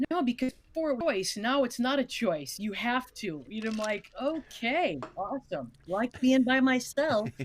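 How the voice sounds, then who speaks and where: A woman speaks in a high voice with an American accent and lively intonation. Her pace is fairly slow, with hardly any pauses. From Wisconsin. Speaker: comedian. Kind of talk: casual chat.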